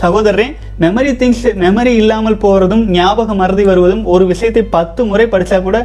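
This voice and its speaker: Against noticeable background noise, a man talks in a high pitch with fairly even intonation. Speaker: celibacy coach. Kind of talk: advice talk with listener questions. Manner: reading aloud listener letters.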